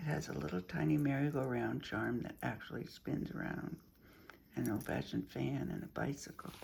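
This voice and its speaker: At a moderate pace, a woman speaks with a very deep, low pitch, a dark, mellow tone, vocal fry and very wide pitch swings. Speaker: crafter showing handmade junk journals. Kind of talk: show-and-tell craft video. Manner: casual, with fillers and repeats.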